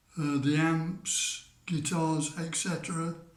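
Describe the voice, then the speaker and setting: A man's very slow, fairly high-pitched speech with audible room echo. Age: 70s. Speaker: music fan telling memories. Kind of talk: storytelling to camera. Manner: hesitant, many fillers.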